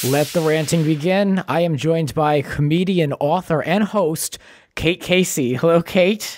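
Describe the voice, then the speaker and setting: A high-pitched man with an American accent and fairly even intonation, music in the background. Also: fairly slow pace. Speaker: podcast host. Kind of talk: casual chat.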